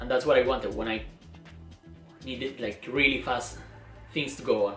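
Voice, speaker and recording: Music plays behind a man who talks at a moderate pace. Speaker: photographer. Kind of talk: casual vlog gear walkthrough to camera.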